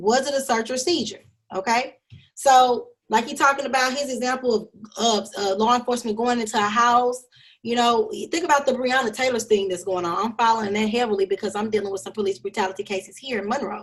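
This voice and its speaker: Her pace is very fast. The woman's fairly high pitch shows ordinary variation. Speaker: professor. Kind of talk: lecture. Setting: video call.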